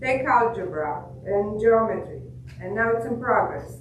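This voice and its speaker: In a room with audible echo, a woman with a fairly high pitch speaks at a fairly slow pace with ordinary pitch variation. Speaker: software engineer. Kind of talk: product demo. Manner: halting, many fillers.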